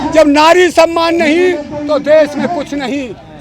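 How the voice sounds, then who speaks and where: Crowd noise fills the background. A man speaks with an animated tone and extremely high pitch. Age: 70s. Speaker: farmer. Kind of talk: street interview.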